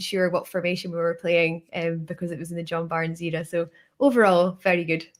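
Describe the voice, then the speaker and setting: The woman has a northern English accent and a medium pitch. She talks at a fairly quick pace. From northern England. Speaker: podcaster. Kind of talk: casual chat.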